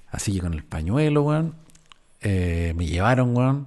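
A man with a Chilean accent talks at a fairly quick pace, his intonation lively. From Chile, Valparaíso region. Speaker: podcaster. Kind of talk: casual storytelling monologue.

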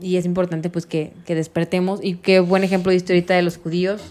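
A woman is speaking. Her pitch is medium. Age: 30s. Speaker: podcast host. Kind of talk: casual interview.

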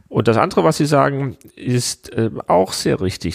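A man's voice swings very widely in pitch and carries vocal fry as he talks at a medium tempo. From Hesse, Germany. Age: 40s. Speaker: director of a political education agency. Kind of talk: interview. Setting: office.

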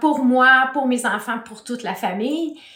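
A high-pitched woman's voice in a Quebec accent at a fairly slow pace, with noticeable background noise and audible room echo. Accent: Québécois French. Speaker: hypnotherapist. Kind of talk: interview.

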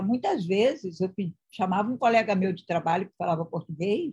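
Somewhat breathy, a woman speaks at a medium pitch and moderate pace with ordinary pitch variation. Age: 40s. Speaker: live-stream host. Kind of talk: casual interview on live stream. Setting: live video stream.

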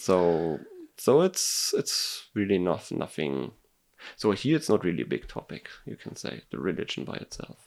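A man with a German accent speaks at a moderate pace in a very deep, low voice with vocal fry. His pitch swings very widely and his loudness varies greatly. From Germany. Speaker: engineer. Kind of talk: casual chat. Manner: halting.

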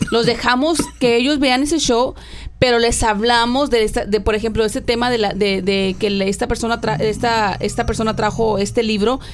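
A woman speaks with music in the background. Her fairly high voice keeps a very even loudness. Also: ordinary pitch variation, moderate pace. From Mexico, rural Tamaulipas. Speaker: podcast co-host. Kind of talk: casual chat.

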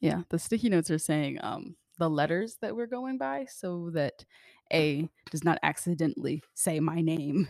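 With a plain, everyday voice and lively intonation, this speaker goes at a moderate pace in a very clean recording with a silent background and a dry, close sound with no echo. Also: woman, fairly low pitch for a woman. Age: 20s. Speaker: podcast co-host, musician. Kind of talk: casual chat.

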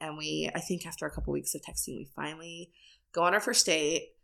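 This very clean recording has a silent background. A woman speaks in a bright, sharp tone with vocal fry and ordinary pitch variation. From US, moved often (Texas, Washington). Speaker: church member. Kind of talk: casual interview.

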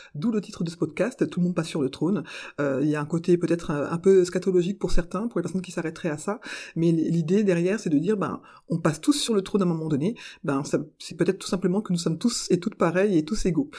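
Somewhat breathy and dark, mellow in tone, the voice rushes at a very fast pace on a very clean recording with a silent background. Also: woman, fairly low pitch for a woman, ordinary pitch variation. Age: 40s. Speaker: podcaster and civil servant. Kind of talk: interview monologue. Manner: halting with frequent hesitations.

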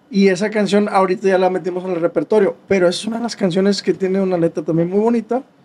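A man speaks at a very fast pace in a high voice, his intonation fairly even. Noticeable background noise sits behind him. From Mexico, Nuevo León (San Nicolás de los Garza). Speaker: drummer. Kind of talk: interview.

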